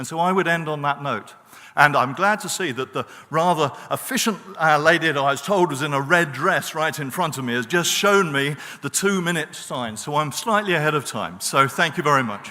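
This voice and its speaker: A fairly high-pitched man in a British accent, with ordinary pitch variation. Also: moderate pace. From Britain. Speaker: professor on a peace studies panel. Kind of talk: panel talk. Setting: conference stage with audience.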